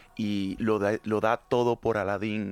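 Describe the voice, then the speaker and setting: A man with a Latin American accent speaks at a fairly low pitch. The recording is very clean, dry and close, with a silent background and no echo. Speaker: musical theatre actor. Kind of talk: interview. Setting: studio.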